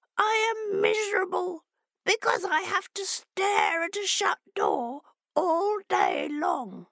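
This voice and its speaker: Using a put-on character voice, a woman talks fairly slowly at an extremely high pitch. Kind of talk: children's storytelling. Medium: read story. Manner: pleading, earnest, then eager and impatient.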